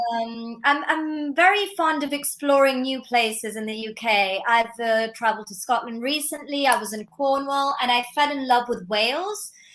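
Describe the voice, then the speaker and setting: With a British accent, a woman speaks at a fairly slow pace in a high pitch. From Milan, Italy. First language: Italian. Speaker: film critic and artist. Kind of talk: interview.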